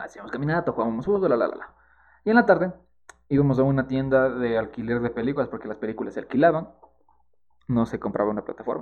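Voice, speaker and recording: This man talks at a very fast pace and a medium pitch, with big swings in loudness. He also leaves long, frequent pauses. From Ecuador, Quito. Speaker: podcast co-host. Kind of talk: casual chat.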